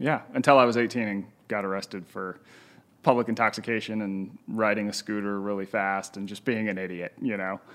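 With a normal speaking voice, a man talks at a fairly quick pace, his pitch fairly low and his intonation fairly even. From Utah, US. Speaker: author and professor. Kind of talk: podcast interview. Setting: in person at host's home.

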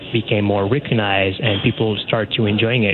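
A man with a Quebec accent, amid noticeable background noise. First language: French. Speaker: academic researcher. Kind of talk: radio phone interview. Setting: phone call.

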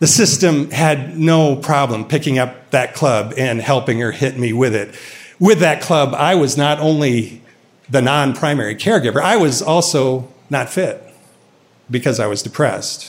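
A man with an American accent, fairly high pitch, ordinary pitch variation and a moderate pace. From US Midwest. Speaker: storyteller. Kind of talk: personal storytelling.

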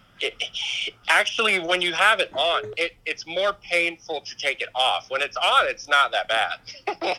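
Over noticeable background noise, a man with a high pitch speaks fairly slowly with lively intonation. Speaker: guest answering questions on a phone call. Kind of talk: casual phone Q&A.

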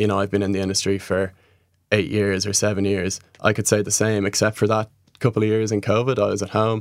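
In a Dublin accent, a man speaks very fast at a fairly low pitch with monotone, flat intonation, in a very clean recording with a silent background. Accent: Irish (Dublin). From Ireland, Dublin. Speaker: festival waste management worker. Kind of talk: interview.

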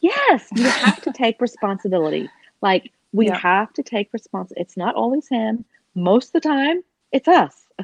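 With a Southern US accent, a woman talks at a moderate pace with very wide pitch swings, the sound dry and close with no echo. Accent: southern twang. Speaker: podcast co-host.

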